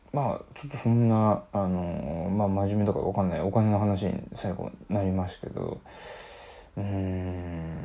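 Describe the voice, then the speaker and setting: Delivered at a moderate pace, this man's voice has a fairly low pitch, a dark, mellow tone, and ordinary pitch variation. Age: 30s. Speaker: podcast host. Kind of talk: solo casual talk.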